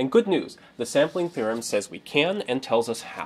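Here a man talks at a moderate pace. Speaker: presenter. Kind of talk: lecture. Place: workshop.

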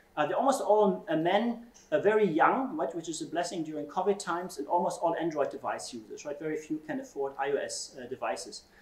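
Audible room echo surrounds a man with a high voice who talks at a fairly quick pace, with lively intonation and big swings in loudness. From Germany. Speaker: computational social scientist. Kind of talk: keynote lecture. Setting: conference stage with audience. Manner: frequent fillers and hesitations. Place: classroom.

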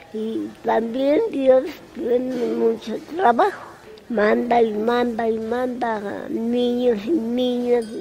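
The woman's voice is high, with ordinary pitch variation. She goes at a very slow pace amid noticeable background noise. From Mexico City. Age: 80s+. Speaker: resident of an old people's home. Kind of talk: interview answer.

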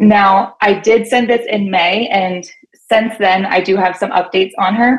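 In an American accent, a woman reads at a fairly slow pace with fairly even intonation. The background is quiet. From Pennsylvania. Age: 30s. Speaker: fitness coach. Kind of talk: call-in question. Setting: phone call. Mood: earnest, a bit unsure. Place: home room. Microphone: video call.

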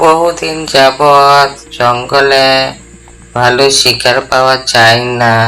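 A cartoonish character voice sits at a low-to-middle pitch. It moves at a very slow pace. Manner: wheedling, sly.

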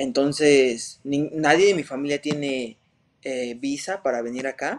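A man talks very slowly at a fairly high pitch with ordinary variation. Light background noise sits behind him. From Mexico City. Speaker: MMA fighter; interviewee. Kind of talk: interview. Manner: hesitant, many fillers. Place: home room. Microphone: video call.

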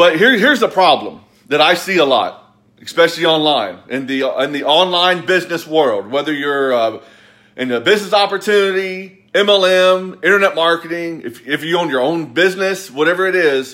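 The voice has a bright, sharp tone and ordinary pitch variation against a quiet background. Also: man, high pitch for a man, moderate pace. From US South, Kentucky. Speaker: motivational business coach. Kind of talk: angry motivational rant, scolding viewers with blunt tough love and sarcasm. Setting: live video on social media. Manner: forceful, emphatic, repeating 'quit blaming' in hammering staccato; sarcastic, mocking whiny voices. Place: home room. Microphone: phone near.

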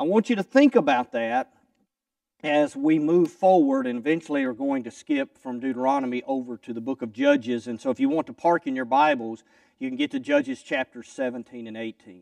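A man speaks at a moderate pace in a Southern US accent with ordinary pitch variation. The sound is dry with no echo, and the background is quiet. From US South, Kentucky. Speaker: preacher. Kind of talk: sermon. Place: church. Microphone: lapel.

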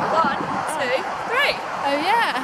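Loud background noise surrounds a woman's voice, and the sound is dry with no echo. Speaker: travel vlogger. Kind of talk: casual vlog chat. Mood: cheerful, excited. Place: street. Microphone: phone near.

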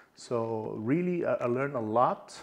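A man in a Portuguese accent at medium pitch and a very slow pace, against a quiet background. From Brazil, small countryside town. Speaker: e-commerce tech executive. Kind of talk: interview.

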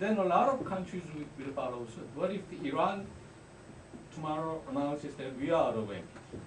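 A man at a fairly high pitch and moderate pace, with audible room echo and light background noise. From South Korea. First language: Korean. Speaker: diplomat. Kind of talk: audience question. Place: classroom. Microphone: podium.

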